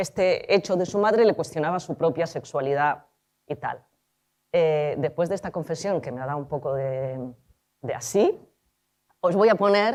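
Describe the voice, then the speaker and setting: A woman with a Spanish accent, a dark, mellow tone, very wide pitch swings and a fairly slow pace. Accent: Spanish (Spain). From Argentina, raised in Spain. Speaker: film director and screenwriter. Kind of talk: talk at a conference. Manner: informal, with frequent fillers.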